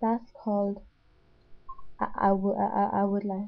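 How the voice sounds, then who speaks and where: A woman of medium pitch at a very slow pace in a monotone, flat intonation. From Northern Ireland. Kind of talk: accent tag word list and questions, casual talk to camera. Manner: stuttering.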